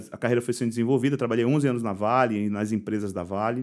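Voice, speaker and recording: A man's pitch varies in an ordinary way, and the background is quiet. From Bahia, Brazil (Salvador). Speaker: logistics tech company founder; guest. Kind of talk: interview. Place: studio. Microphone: studio mic.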